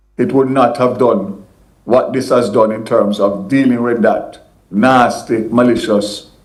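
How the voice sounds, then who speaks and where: A man at a medium pitch talks at a fairly slow pace with fairly even intonation, with audible room echo. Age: 60s. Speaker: politician. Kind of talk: news interview.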